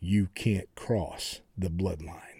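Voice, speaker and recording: Loud and booming, a man performs a put-on character voice at a very deep, low pitch. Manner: commanding.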